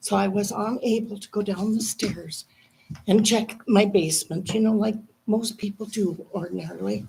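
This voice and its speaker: A woman at a medium pitch speaks at a moderate pace with fairly even intonation and vocal fry. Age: 70s. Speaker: resident appealing a utility bill. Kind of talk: public comment. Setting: city commission meeting.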